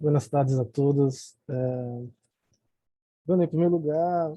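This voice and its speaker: A man with a Brazilian accent speaks at a fairly slow pace. His voice is fairly high-pitched with a dark, mellow tone. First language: Portuguese (speaking Spanish). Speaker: academic commentator. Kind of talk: reading prepared remarks. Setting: video call.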